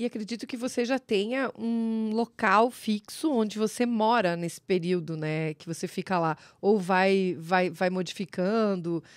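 A woman talks in an animated tone at a fairly slow pace, with ordinary pitch variation. The sound is dry with no echo against a quiet background. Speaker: podcast co-host. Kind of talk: casual chat. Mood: friendly, smiling. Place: studio. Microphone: studio mic.

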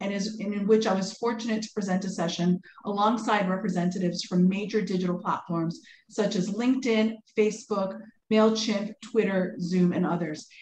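A woman talks at a moderate pace with fairly even intonation. Audible room echo and light background noise are present. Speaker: webinar host, moderator. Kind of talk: formal introduction. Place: home room. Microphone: video call.

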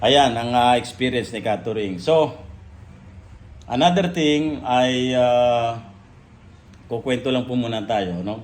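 A man talks at a very slow pace with long, frequent pauses. His pitch is medium, with ordinary pitch variation. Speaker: vlogger and LPG retailer. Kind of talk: casual vlog monologue. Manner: halting, many fillers.

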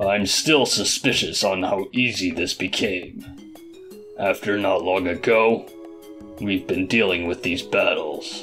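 A man's cartoonish character voice, fairly low-pitched and fairly slow, with clear music in the background. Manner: stern, serious.

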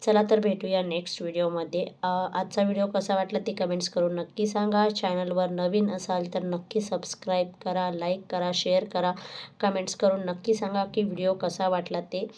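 In a dark, mellow tone, a woman speaks with monotone, flat intonation. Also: medium pitch for a woman. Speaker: vlogger, housewife. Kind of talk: casual vlog narration.

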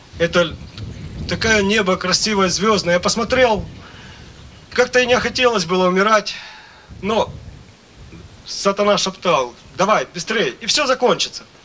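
A man with a high voice talks in a raised, projected way at a fairly slow pace, with long, frequent pauses. His loudness stays very even, his pitch varies in an ordinary way, and light background noise is present. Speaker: preacher. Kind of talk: sermon. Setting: church. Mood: fervent, worshipful. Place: stage. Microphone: handheld.

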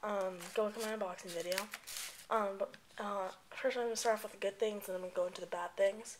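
The man's voice sits at a high pitch. His intonation is monotone and flat. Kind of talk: casual product review to camera. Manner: quiet, not loud.

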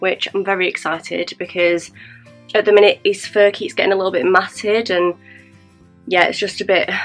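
Faint music plays behind a woman speaking. She keeps a moderate pace and fairly even intonation. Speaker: beauty vlogger. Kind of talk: casual vlog chat. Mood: relaxed, cheerful. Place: home room. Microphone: camera far.

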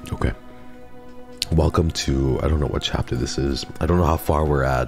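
Speech at a moderate pace over clearly audible background music. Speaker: streamer playing a story game. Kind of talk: casual, profane. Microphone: studio mic.

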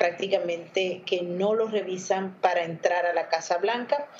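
A woman speaks with monotone, flat intonation. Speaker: correspondent. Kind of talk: news discussion. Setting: video call. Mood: calm, explanatory. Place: home room. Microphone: video call.

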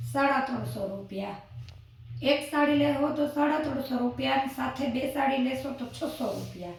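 A soft-spoken woman amid noticeable background noise and audible room echo. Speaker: saree seller vlogger. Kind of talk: sales pitch.

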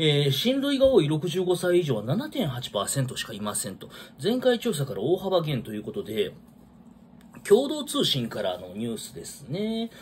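Pitch swings very widely and loudness swings a lot at a fairly slow pace. Light background noise sits behind it. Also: man, fairly high pitch for a man. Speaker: vlogger. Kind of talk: casual solo talk commenting on news. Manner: rambling, filler-heavy, casual. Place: home room. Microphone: phone near.

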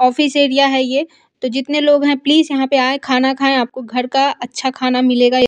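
Speaking at a fairly slow pace, a woman uses a high pitch. The background is quiet. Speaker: food vlogger. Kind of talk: casual vlog outro. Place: street. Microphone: phone near.

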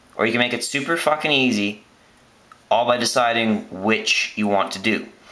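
At a moderate pace with ordinary pitch variation, the voice is heard with audible room echo. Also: man. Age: 20s. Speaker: student making math tutorial videos. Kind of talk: tutorial. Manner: casual.

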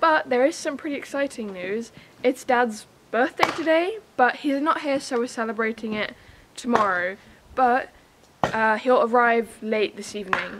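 A high-pitched woman's voice at a moderate pace, with ordinary pitch variation and noticeable background noise. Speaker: home renovation vlogger. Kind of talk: casual vlog chat. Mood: cheerful, a bit squinting. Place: farm. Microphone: camera far.

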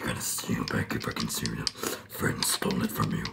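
Whispering at a fairly quick pace, the speaker uses a put-on character voice laced with vocal fry.

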